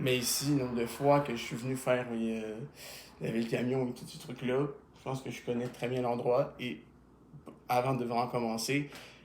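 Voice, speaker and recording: Long, frequent pauses break up a man's fairly even speech, recorded with audible room echo. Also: medium pitch for a man, moderate pace. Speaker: YouTuber. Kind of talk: casual interview.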